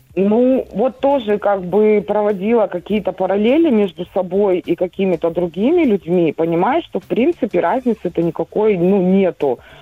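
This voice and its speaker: A woman talks in an unremarkable speaking voice at a medium pitch, with lively intonation. She keeps a moderate pace with hardly any pauses. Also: very even loudness. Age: 40s. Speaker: caller. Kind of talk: phone-in personal question.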